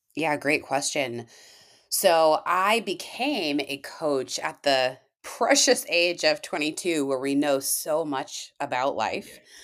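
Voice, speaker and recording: On a very clean recording with a silent background, a woman with an American accent talks very slowly in a very deep, low pitch with lively intonation. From Washington State. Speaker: firefighter and wellness coach. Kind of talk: interview.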